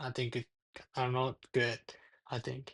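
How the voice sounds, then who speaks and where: A man speaks with a Japanese accent in monotone, flat intonation. The background is quiet. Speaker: university student interviewee. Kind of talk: interview. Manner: halting.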